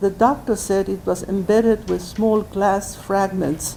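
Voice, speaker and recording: A woman speaks fairly slowly in an ordinary speaking voice. Her pitch is medium and her intonation fairly even. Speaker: senior citizen memoir writer reading own work aloud. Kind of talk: memoir reading.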